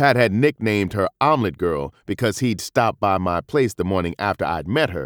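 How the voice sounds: In a natural reading voice, the lines come out with lively intonation.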